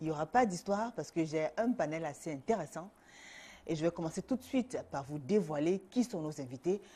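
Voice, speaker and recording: Using lively intonation, a woman with a dark, mellow tone and fairly low pitch speaks at a moderate pace. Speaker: TV show host. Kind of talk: talk show host introducing guests. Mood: warm, playful, teasing. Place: studio. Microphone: lapel.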